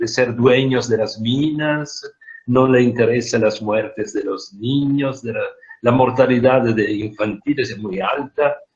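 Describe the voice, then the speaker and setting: Somewhat breathy and with a non-native accent, the speaker goes at a fairly slow pace with fairly even intonation. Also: man, medium pitch for a man. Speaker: speaker on social issues. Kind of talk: online group meeting talk.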